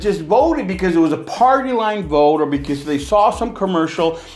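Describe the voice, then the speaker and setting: Over noticeable background noise, a man talks at a moderate pace with lively intonation and hardly any pauses. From California. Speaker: independent film producer and podcaster, former pastor. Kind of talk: casual solo podcast monologue. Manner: informal, conversational, opinionated.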